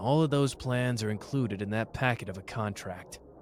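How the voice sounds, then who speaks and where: A man's gruff, put-on character voice at a moderate pace with ordinary pitch variation, over clear background noise. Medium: audio drama. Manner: gruff, impatient, swearing.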